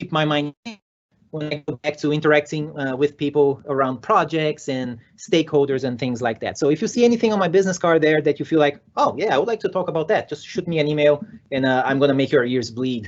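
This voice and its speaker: Speaking very fast with a Brazilian Portuguese accent, a man uses a fairly high pitch with ordinary pitch variation. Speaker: software developer and conference speaker. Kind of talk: conference talk. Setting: virtual conference session. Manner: energetic.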